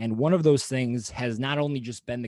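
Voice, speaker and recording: This is a normal speaking voice with an American accent and ordinary pitch variation. The sound is dry and close, with no echo. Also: man. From Wisconsin. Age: 20s. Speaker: podcast host. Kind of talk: casual interview chat.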